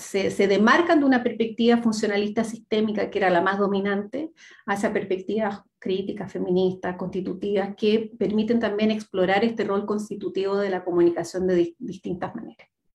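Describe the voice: At a fairly quick pace, a woman of medium pitch speaks with fairly even intonation, a slightly mellow tone and a slightly husky edge.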